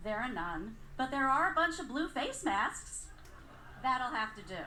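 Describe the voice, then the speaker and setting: Audible echo fills the room. In it, a woman talks at a fairly slow pace. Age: 60s. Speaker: storyteller. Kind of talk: live storytelling. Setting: stage with audience.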